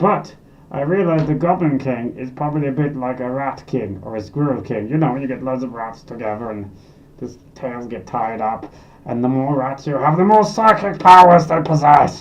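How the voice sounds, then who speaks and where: A put-on character voice at a moderate pace. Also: man, medium pitch for a man. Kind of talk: comic character monologue. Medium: solo performance. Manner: rambling, excitable, self-deprecating.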